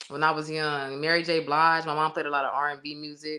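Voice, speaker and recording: A woman talks at a very fast pace. Her pitch is very deep and low. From Inglewood, California. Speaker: singer and rapper. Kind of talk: interview. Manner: casual.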